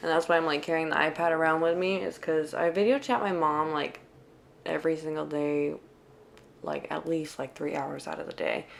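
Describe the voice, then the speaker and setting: Her very deep, low voice moves at a fairly quick pace with fairly even intonation. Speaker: lifestyle vlogger. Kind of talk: voiceover narration. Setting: home, recorded right before bed. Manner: casual, chatty.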